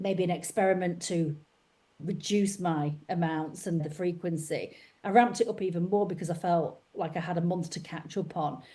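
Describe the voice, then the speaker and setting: A woman's fairly low, dark, mellow voice with ordinary pitch variation. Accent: Lancashire. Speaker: podcast host and author. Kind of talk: interview. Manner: animated.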